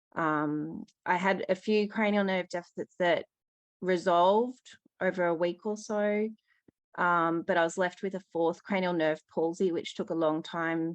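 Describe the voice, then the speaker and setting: Behind this woman, things are quiet. She talks fairly slowly. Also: medium pitch for a woman, fairly even intonation. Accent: Australian. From Australia. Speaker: caller with eye condition. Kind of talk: question to expert. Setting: call-in. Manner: hesitant, many fillers.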